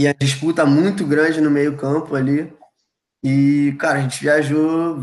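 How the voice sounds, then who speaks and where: This man's voice sits fairly high in pitch, with a monotone, flat intonation. He speaks at a fairly slow pace. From Brazil, Rio de Janeiro (Ilha do Governador). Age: 20s. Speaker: college football player. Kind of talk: casual chat. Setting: live stream video call.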